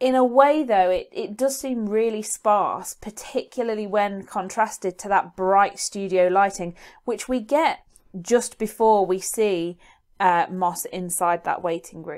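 Recorded very cleanly against a silent background, a woman speaks with a British accent. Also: medium pitch for a woman, ordinary pitch variation. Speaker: GCSE media revision YouTuber. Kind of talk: educational tutorial. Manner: fast.

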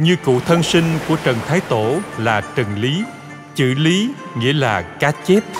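Over music in the background, a man talks at a very slow pace with lively intonation. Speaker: voice director. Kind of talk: history documentary narration. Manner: heroic, stirring.

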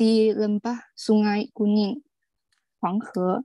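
A woman with a fairly high pitch and a dark, mellow tone speaks against a quiet background, her sound dry with no echo. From China. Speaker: webinar presenter. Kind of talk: prepared presentation. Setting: video call. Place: home room. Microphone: video call.

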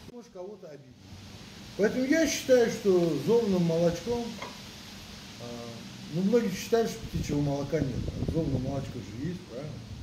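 A high-pitched man with very wide pitch swings, big swings in loudness, long and frequent pauses, and noticeable background noise. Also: moderate pace. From Azerbaijan. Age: 60s. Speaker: pigeon breeder. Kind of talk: casual chat. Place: garden. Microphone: camera far.

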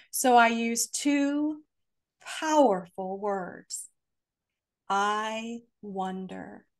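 Against a quiet background, a woman speaks at a fairly high pitch with a warm, animated tone. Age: 60s. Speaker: author and family therapist; podcast guest. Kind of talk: interview conversation on spirituality and trauma healing. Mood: calm, earnest, reflective. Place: home room. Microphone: video call.

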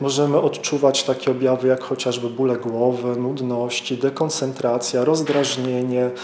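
There is audible room echo and light background noise as a man speaks at a fairly slow pace. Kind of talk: interview answer.

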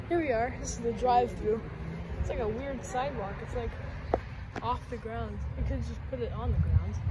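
A woman at a fairly quick pace against loud background noise. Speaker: urban explorer vlogger. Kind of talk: casual vlog commentary. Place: street. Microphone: phone near.

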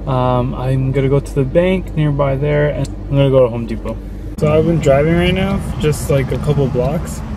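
A man's voice in a dry sound with no echo, amid noticeable background noise. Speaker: vlogger. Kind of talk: casual vlog chat. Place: car. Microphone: phone near.

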